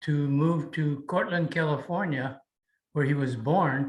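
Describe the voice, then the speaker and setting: A man speaks with an American accent at a fairly slow pace. His voice is somewhat breathy, with fairly even intonation. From United States. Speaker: Japanese American incarceration camp survivor. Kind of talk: interview answer.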